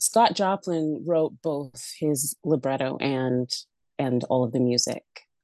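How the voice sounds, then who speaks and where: With a Canadian accent, a woman talks at a fairly slow pace in a very deep, low voice with lively intonation. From Alberta, Canada. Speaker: opera singer. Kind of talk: interview.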